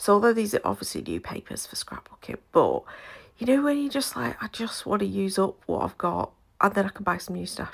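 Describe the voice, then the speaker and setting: Speaking with a British accent, a woman keeps a fairly quick pace. Her recording is very clean against a silent background. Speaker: scrapbooker. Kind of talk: casual talk to camera.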